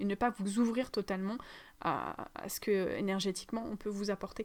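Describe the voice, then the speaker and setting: The female speaker's voice sits at a medium pitch. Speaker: spiritual teacher, energy healer. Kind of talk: spiritual teaching monologue. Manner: halting, many fillers; fast.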